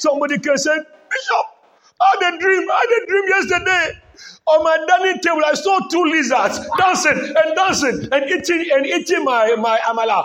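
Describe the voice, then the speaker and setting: Shouting over crowd noise at a moderate pace, a man uses an extremely high pitch and a bright, sharp tone, his delivery animated with lively intonation and very even loudness. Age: 80s+. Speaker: bishop preaching to his congregation. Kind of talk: sermon. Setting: church service with congregation. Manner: animated call-and-response.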